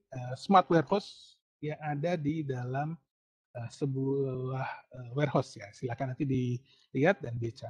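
The background is quiet as a man speaks at a fairly slow pace. His voice is somewhat breathy and fairly high in pitch. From Indonesia. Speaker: university lecturer. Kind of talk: online lecture. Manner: hesitant with fillers. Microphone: video call.

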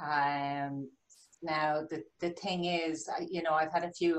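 A woman with a Dublin accent speaks at a fairly slow pace in a very deep, low voice, her intonation flat and monotone. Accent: Dublin Irish. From Dublin, Ireland. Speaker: life coach. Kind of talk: elevator pitch. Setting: video call. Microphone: video call.

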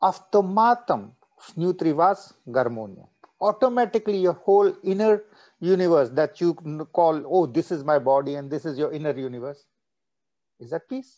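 His voice high in pitch yet dark and mellow in tone, the man makes very wide pitch swings and big swings in loudness. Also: moderate pace, quiet background. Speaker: meditation teacher. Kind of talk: guided meditation. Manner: switches between English and Russian. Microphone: video call.

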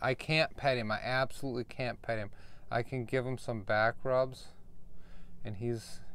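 In a dry sound with no echo, a man speaks at a moderate pace with monotone, flat intonation. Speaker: RV dweller vlogger. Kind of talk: casual vlog talk to camera. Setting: outdoors in desert RV camp. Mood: frustrated, complaining. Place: home room. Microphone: phone near.

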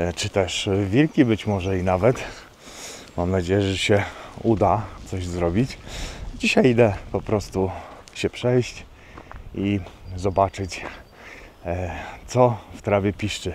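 Very slow male speech with long, frequent pauses, light background noise and a dry sound with no echo. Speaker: nature photographer vlogger. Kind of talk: casual vlog chat. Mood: cheerful, relaxed. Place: open country. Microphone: phone near.

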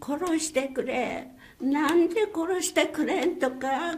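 A woman speaks at an extremely high pitch. Her pace is very slow. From Nagasaki Prefecture, Japan. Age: 80s+. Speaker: atomic bomb survivor. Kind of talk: personal testimony. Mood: grave, emotional. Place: meeting room. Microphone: podium.

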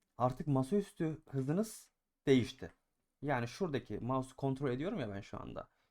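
The recording is very clean, with a silent background. A man with an ordinary speaking voice talks at a moderate pace with ordinary pitch variation. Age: 20s. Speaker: gaming YouTuber and streamer. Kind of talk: gaming tutorial. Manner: casual, filler-heavy.

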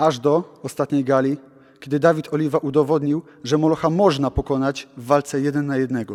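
A man's fairly high-pitched voice in a monotone, flat intonation. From Poland, Gdańsk. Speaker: pro wrestler. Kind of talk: interview.

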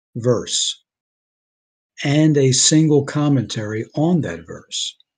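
A man speaks in a dark, mellow tone, somewhat breathy. His pitch varies in an ordinary way against a quiet background. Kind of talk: sermon. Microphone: video call.

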